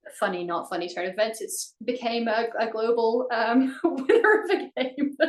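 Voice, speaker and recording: Delivered at a moderate pace in an American accent, the speech has very wide pitch swings over noticeable background noise. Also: woman, fairly high pitch for a woman. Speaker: ministry team leader. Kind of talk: interview.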